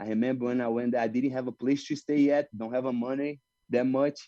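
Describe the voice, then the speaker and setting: At a moderate pace, a man with a Brazilian Portuguese accent speaks at medium pitch in a dark, mellow tone, with a dry, close sound with no echo and a quiet background. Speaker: jiu-jitsu fighter. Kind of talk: interview. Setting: video call. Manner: halting non-native English.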